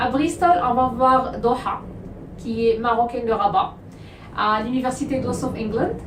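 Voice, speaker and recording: This woman's high voice shows ordinary pitch variation at a fairly slow pace, with long, frequent pauses. Noticeable background noise and audible room echo fill the recording. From Morocco. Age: 30s. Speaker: study abroad agency owner. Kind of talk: vlog introduction.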